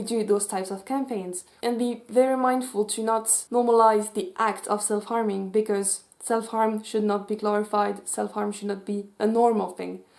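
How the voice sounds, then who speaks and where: This woman has a Swiss French accent and a fairly high pitch. She keeps a moderate pace. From French-speaking Switzerland. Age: 20s. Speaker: youtuber and mental health advocate. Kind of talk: vlog commentary. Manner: animated.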